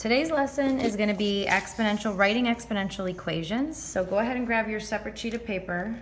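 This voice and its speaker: Speaking at a fairly quick pace, a woman keeps a medium pitch with ordinary pitch variation. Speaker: math teacher. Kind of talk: tutorial. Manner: fast.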